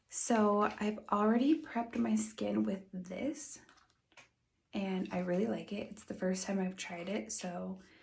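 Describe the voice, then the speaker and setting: Soft-spoken and somewhat breathy, a woman talks at a fairly slow pace in a relaxed tone. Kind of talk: soft-spoken ASMR makeup get-ready-with-me talk to camera. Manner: soft-spoken, relaxed, casual.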